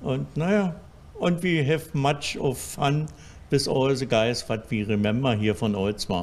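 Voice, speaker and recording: Delivered at a fairly slow pace in a German accent, the speech has lively intonation and very even loudness. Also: man, medium pitch for a man. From Germany, Berlin. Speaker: community volunteer. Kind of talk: interview. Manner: halting, mixing in German words.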